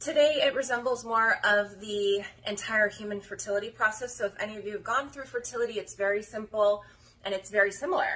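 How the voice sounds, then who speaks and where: A woman speaks at a fairly quick pace with an American accent. Her fairly high voice keeps a fairly even intonation. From rural Colorado. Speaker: dog breeder. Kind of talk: casual vlog talk to camera. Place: home room. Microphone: phone near.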